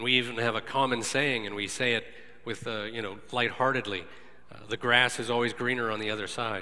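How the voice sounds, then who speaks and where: At a fairly quick pace, a man talks in a flat monotone at medium pitch, with audible room echo and noticeable background noise. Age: 40s. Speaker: lay preacher. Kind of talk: sermon.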